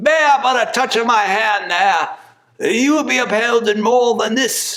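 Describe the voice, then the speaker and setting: At a moderate pace, a man puts on a character voice pitched extremely high. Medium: stage play.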